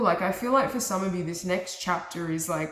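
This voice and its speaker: There is audible room echo as a woman speaks at a medium pitch with ordinary pitch variation. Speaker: tarot reader. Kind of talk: tarot reading.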